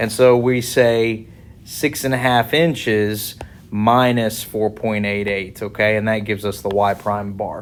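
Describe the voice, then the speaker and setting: Music plays in the background as a man talks at a fairly slow pace. His pitch is fairly low and his intonation fairly even. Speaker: engineering lecturer. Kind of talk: tutorial.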